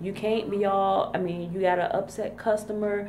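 A woman speaks at a fairly quick pace over light background noise. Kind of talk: casual vlog chat. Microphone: phone near.

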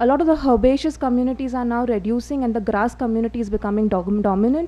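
Here a woman talks at a fairly quick pace. Her pitch variation is ordinary. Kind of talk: lecture. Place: hall.

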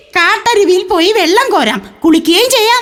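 Doing a put-on character voice, a woman speaks at an extremely high pitch with lively intonation and a fairly slow pace. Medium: stage play.

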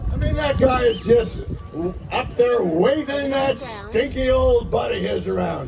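The voice is a man's. Behind it sits noticeable background noise. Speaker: stand-up comedian. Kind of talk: stand-up comedy set. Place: stage. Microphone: pa.

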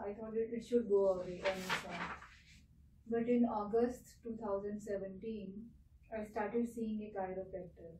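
Amid light background noise and audible room echo, a woman speaks in a monotone, flat way. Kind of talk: interview answer. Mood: calm, describing symptoms. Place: office.

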